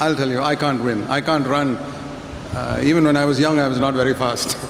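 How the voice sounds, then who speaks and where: A man talks at a fairly high pitch in a monotone, flat way. Noticeable background noise and audible room echo are present. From India. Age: 70s. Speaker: preacher. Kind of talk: sermon with interpreter. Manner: short phrases paused for translation.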